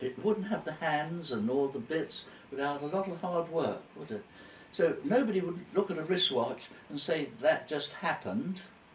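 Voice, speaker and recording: Over noticeable background noise, a man talks at a moderate pace with a high pitch and lively intonation. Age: 90s. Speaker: elderly man interviewed by his carer. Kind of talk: casual interview chat. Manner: halting.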